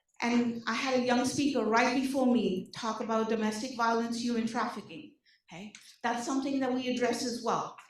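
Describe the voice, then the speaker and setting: Her voice high, a woman talks at a fairly quick pace with audible room echo around her. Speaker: social services case manager. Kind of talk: presentation to community meeting. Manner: animated.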